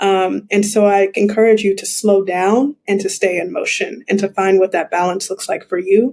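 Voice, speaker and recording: This woman has a plain, everyday voice at a medium pitch, with fairly even intonation. She keeps a moderate pace with hardly any pauses. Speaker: mindfulness coach and entrepreneur. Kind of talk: podcast interview.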